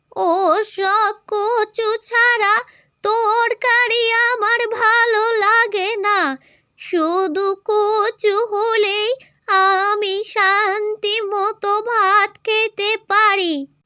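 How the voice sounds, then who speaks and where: A cartoonish character voice from a woman, extremely high-pitched, very slow, monotone and flat, at very even loudness. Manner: grumbling, insistent.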